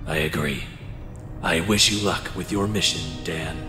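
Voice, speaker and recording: A man's put-on character voice, very deep and low, at a moderate pace with slight echo and loud music in the background. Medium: machinima. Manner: formal, proper.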